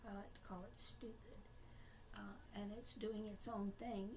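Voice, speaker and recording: A woman's fairly high pitch with ordinary pitch variation, a fairly slow pace and audible room echo. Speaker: diabetic vlogger sharing personal experience. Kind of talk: casual personal talk to camera. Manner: halting, many filler words.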